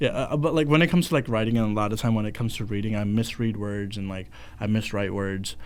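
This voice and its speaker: A man speaks very fast in a fairly low voice with ordinary pitch variation. Room echo is audible around him. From India, moved to US 2011. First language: Hindi. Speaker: student podcast host. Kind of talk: casual chat. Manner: halting, many false starts.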